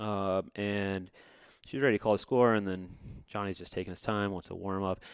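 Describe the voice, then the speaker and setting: A man with an American accent, fairly low-pitched and flat, monotone in intonation, at a moderate pace with big swings in loudness on a very clean recording with a silent background. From US South, Georgia. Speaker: podcast co-host. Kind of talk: casual chat.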